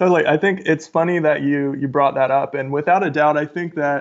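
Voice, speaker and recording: With an American accent and an ordinary speaking voice, a man talks at a moderate pace, fairly high in pitch with ordinary pitch variation. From rural Ohio, US Midwest. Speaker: author and podcast host. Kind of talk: casual interview.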